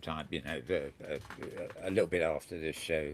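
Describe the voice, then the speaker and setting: A man's voice in a very clean recording with a silent background. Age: 70s. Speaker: talk show host. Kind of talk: casual chat.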